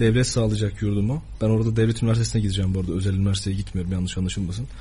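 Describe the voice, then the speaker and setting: A man speaks in a fairly low voice with a dark, mellow tone that is somewhat breathy. Audible room echo surrounds him. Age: 20s. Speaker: journalism student. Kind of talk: radio interview.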